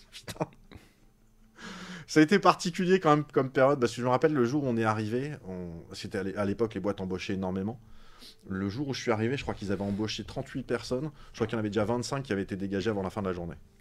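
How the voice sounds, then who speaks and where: A man with a medium-pitched voice speaks very fast with lively intonation, yet takes long, frequent pauses. The recording is very clean, with a silent background. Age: 40s. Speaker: science YouTuber. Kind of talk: casual interview chat. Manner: animated.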